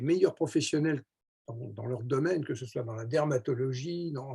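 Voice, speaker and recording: A man speaks at a fairly high pitch with a dark, mellow tone and a somewhat breathy quality. His intonation is lively and his pace moderate. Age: 70s. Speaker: network marketing entrepreneur. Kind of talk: sales pitch. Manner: enthusiastic; hesitant with filler words.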